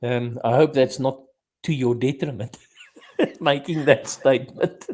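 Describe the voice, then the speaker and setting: Fairly even in intonation, a man speaks fairly slowly at a medium pitch. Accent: Afrikaans South African. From South Africa, Afrikaans. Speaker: podcast host. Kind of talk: casual chat.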